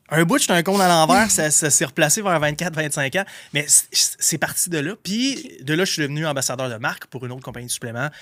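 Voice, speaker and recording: Speaking at a very fast pace, a man uses lively intonation. His tone is bright and sharp, and his pitch is fairly high. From Quebec, Gaspésie. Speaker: entrepreneur. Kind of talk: podcast interview. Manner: casual, slangy.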